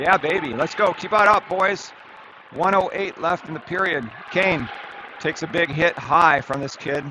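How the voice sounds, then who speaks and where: Over crowd noise in the background, a man speaks at a moderate pace with ordinary pitch variation. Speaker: youth hockey game commentator. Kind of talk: live commentary; casual recap. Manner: animated.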